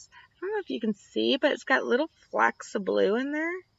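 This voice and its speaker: The speaker has a slight country accent and talks at a fairly quick pace, with a dry, close sound and no echo. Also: woman, big swings in loudness. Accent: slight country twang. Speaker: tarot reader. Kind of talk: tarot reading. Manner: casual and chatty.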